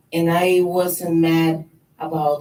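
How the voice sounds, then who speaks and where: The speaker is a woman with a very deep, low pitch. She talks with a non-native accent. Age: 40s. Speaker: professional boxer. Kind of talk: press conference speech.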